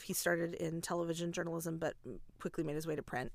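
This woman has a fairly low pitch and an American accent. Vocal fry runs through her voice. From US Midwest. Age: 30s. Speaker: podcast host and show choir teacher. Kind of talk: casual interview chat. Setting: recording in her closet.

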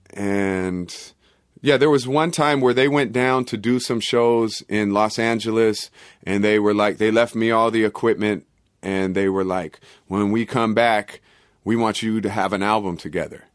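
A man with an American accent, fairly low in pitch, with ordinary pitch variation at a moderate pace, on a very clean recording with a silent background. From Oakland, California. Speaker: rapper and producer. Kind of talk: casual interview.

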